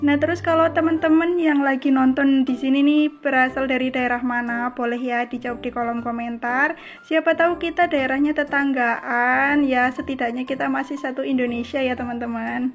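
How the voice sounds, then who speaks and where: A woman speaks at a moderate pace with a high pitch and fairly even intonation, barely pausing. Noticeable background noise runs under her voice. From Central Java, Cilacap. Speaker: housewife vlogger. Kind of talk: casual vlog chat while cleaning. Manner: chatty, informal.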